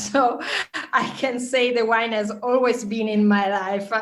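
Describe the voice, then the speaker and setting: A woman with an Italian accent speaks slowly-ish, at a fairly slow pace and a high pitch. The room echo is audible, and there is noticeable background noise. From northern Italy, Trento. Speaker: wine journalist. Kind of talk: interview. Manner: halting.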